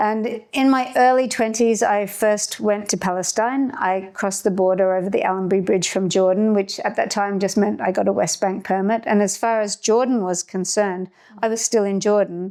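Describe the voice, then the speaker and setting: With an Australian accent, a woman talks at a moderate pace in a medium pitch with fairly even intonation and hardly any pauses, over noticeable background noise. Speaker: activist and ship's captain. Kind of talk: interview.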